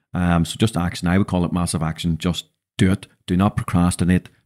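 Very deep and low, a man's voice carries a Northern Irish accent. The recording is very clean with a silent background and a dry, close sound with no echo. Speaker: podcast host and business mentor. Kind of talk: casual chat. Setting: studio.

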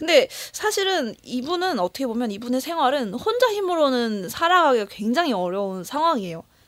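Against noticeable background noise, a high-pitched woman talks at a moderate pace with very wide pitch swings and hardly any pauses. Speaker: podcast co-host. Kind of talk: casual chat reviewing a film. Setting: studio.

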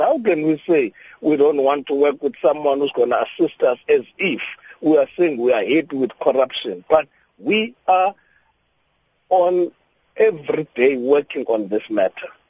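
With lively intonation and a dark, mellow tone, a man talks at a moderate pace in a dry, close sound with no echo. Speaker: government official. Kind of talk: radio interview. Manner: halting.

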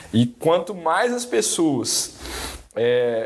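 Over noticeable background noise, a man speaks with lively intonation at a fairly high pitch. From Brazil, Belo Horizonte. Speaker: engineer and entrepreneur. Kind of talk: interview. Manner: halting, many repetitions.

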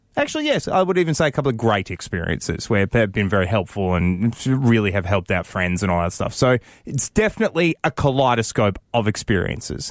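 In a very clean recording with a silent background and a dry, close sound with no echo, a man with an Australian accent talks at a fairly quick pace with lively intonation and a fairly low pitch. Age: 30s. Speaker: radio host. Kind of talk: casual chat. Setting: studio.

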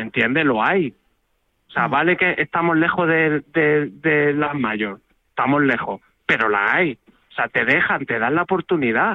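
Fairly high in pitch, a man speaks at a fairly slow pace in a normal speaking voice with lively intonation. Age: 40s. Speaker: paralympic marathon runner. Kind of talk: phone interview.

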